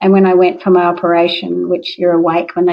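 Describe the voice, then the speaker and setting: With an Australian accent, a woman talks at a fairly low pitch and with fairly even intonation. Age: 60s. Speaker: parkrun participant. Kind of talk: interview testimony.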